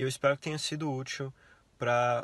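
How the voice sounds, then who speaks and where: A man talks at a moderate pace, his voice somewhat breathy. His intonation stays fairly even, and the sound is dry with no echo. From Brazil. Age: 20s. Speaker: university student; interviewee. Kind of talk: interview. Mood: relaxed, friendly. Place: car. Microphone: phone near.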